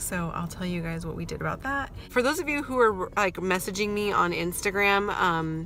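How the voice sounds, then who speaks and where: The voice is quiet, with music playing in the background. Audible room echo surrounds it. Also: woman. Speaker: mom vlogger. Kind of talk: casual vlog update. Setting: in a car.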